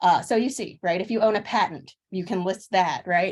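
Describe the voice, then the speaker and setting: A woman with an American accent and lively intonation. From Philadelphia, US. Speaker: social media consultant. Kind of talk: webinar presentation. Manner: fast.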